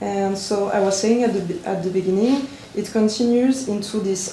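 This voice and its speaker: A woman with a French accent speaks at a medium pitch and moderate pace, her intonation fairly even. Audible room echo and noticeable background noise are present. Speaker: visual artist. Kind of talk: conference talk. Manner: halting.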